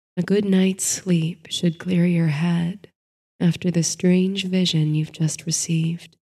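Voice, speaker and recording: A woman speaks at a very slow pace in a fairly low pitch, her dark, mellow tone somewhat breathy and soothing, gentle, with monotone, flat intonation and very even loudness. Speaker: sleep story narrator. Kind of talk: bedtime story with guided meditation and countdown. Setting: studio recording for sleep audio. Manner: soothing, slow and hushed, gentle lulling cadence; dreamy, calm storytelling.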